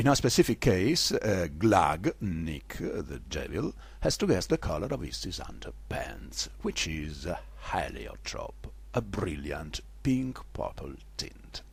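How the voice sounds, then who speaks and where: Speech in a non-native accent comes at a very slow pace. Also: man. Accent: non-native English, self-noted. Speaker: literary performer and lecturer. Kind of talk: theatrical literary lecture. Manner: histrionic.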